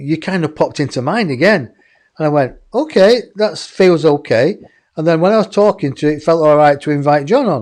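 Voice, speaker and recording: A man's high voice in an English accent at a moderate pace. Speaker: online show host. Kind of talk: casual chat.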